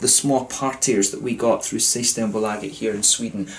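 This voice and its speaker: Light background noise is present. A man's speech moves at a fairly quick pace. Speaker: beer reviewer. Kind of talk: casual vlog chat. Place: home room. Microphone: camera far.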